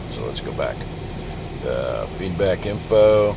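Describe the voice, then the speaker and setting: A man's fairly low-pitched voice amid audible room echo and noticeable background noise. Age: 60s. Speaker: product reviewer, nomad vlogger. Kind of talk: product review tutorial. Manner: casual, thinking aloud.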